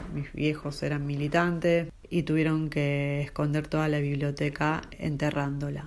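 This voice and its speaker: A woman's very deep, low voice, monotone and flat, fairly slow with hardly any pauses, in audible room echo. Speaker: photographer. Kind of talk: recorded interview.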